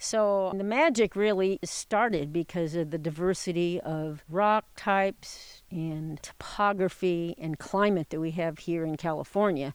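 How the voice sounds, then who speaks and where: On a very clean recording with a silent background, a woman with a plain, everyday voice speaks at a fairly slow pace with hardly any pauses, using a fairly low pitch and ordinary pitch variation. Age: 60s. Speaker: retired botanist. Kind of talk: interview. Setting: outdoors in a forest.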